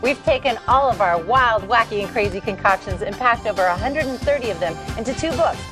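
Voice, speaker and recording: A woman with a fairly high pitch talks at a very fast pace with hardly any pauses, using an upbeat tone and lively intonation over clear music in the background. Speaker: infomercial host. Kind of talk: infomercial demonstration. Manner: friendly, upbeat. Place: studio. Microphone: lapel.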